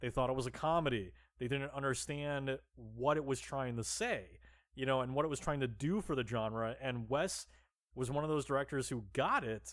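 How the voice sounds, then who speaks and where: The delivery moves at a moderate pace with ordinary pitch variation. It is a very clean recording with a silent background. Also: man, medium pitch for a man. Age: 30s. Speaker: horror podcast host. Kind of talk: casual chat. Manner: halting.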